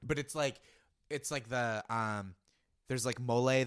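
This is an unremarkable speaking voice: a man at medium pitch with an American accent, talking at a moderate pace. The sound is dry and close with no echo, on a very clean recording with a silent background. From Boston area. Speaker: comedy writer. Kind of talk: casual chat.

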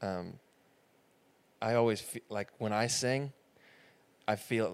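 Recorded very cleanly against a silent background, a man speaks at a medium pitch and a fairly slow pace. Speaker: podcast host. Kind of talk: casual interview conversation. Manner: joking, laughs often.

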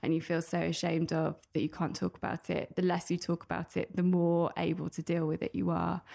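The voice has a dark, mellow tone. It comes with a British accent. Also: woman. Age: 30s. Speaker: author and personal finance influencer. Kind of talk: interview.

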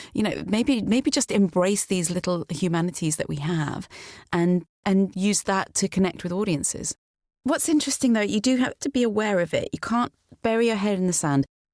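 With a British accent, a woman at medium pitch speaks at a moderate pace with lively intonation. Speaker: voiceover artist. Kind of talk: interview commentary.

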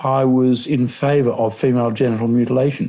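Speaking fairly slowly with an Australian accent, a man has a medium pitch and a dark, mellow tone. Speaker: human rights lawyer and political candidate. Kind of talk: interview.

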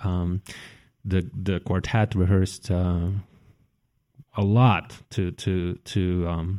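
Long, frequent pauses break up a dark, mellow voice with fairly even intonation, recorded very cleanly over a silent background with a dry, close sound and no echo. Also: man. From Russia. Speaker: violinist. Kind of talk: live on-stage interview. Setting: stage with audience. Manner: halting, many fillers.

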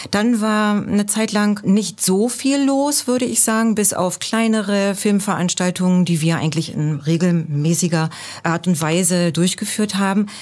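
A woman with an ordinary speaking voice talks at medium pitch and a fairly slow pace. Her loudness is very even and she hardly pauses at all. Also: ordinary pitch variation. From East Germany. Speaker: embassy cultural staff member. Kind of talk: podcast interview.

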